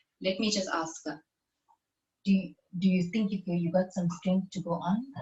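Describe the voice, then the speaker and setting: A woman speaks with a somewhat breathy voice at a fairly low pitch. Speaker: podcast host. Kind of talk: podcast intro and interview questions.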